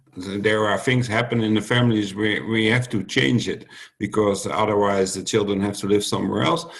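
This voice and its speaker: Speaking at a moderate pace with a Dutch accent, a man uses a fairly low pitch with ordinary pitch variation. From Netherlands. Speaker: youth protection worker. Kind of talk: roundtable discussion. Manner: halting.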